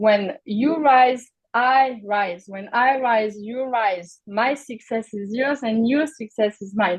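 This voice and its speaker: Speaking very slowly with a fairly high pitch, a woman shows ordinary pitch variation and big swings in loudness. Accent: non-native. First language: not English. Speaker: mentoring program leader. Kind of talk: onboarding presentation. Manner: halting, many fillers.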